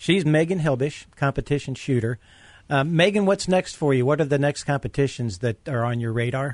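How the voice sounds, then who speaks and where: A plain, everyday voice from a man, fairly high in pitch, with ordinary pitch variation, a fairly quick pace and a dry, close sound with no echo. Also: quiet background. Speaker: radio co-host. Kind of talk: casual banter, radio show.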